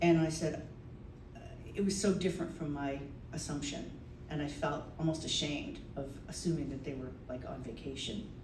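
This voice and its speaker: A woman speaks at a moderate pace with a very deep, low pitch and ordinary variation. Noticeable background noise is present. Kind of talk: live storytelling performance to an audience. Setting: live venue with audience. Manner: conversational, personal anecdote.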